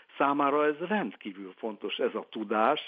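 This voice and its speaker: A man's voice with ordinary pitch variation. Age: 70s. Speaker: literary translator. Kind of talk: interview.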